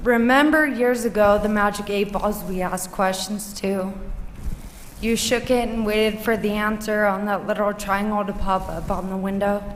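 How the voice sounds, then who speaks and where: Someone with an American accent speaks at a moderate pace with fairly even intonation. Noticeable background noise and audible room echo fill the recording. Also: woman. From US West Coast, Los Angeles. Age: 20s. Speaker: patient speaker. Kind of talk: prepared testimony.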